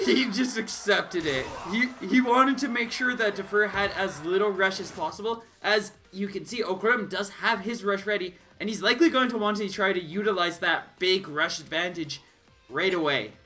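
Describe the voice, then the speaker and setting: An animated, raised and projected man's voice at high pitch, with ordinary pitch variation, a moderate pace and noticeable background noise. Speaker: esports commentator. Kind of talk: live commentary.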